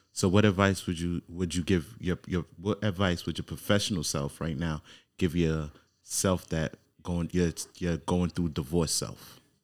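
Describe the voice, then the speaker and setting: Very clean recording with a silent background of a man's very deep, low voice, fairly slow and fairly even in intonation. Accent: American. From New York. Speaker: podcast host. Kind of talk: casual interview chat.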